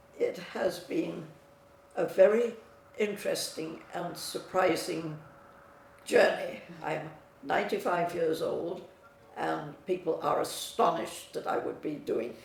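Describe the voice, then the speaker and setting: A woman speaks at a very slow pace, with long, frequent pauses. Noticeable background noise and audible room echo fill the recording. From England. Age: 90s. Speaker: client giving testimonial. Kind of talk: testimony.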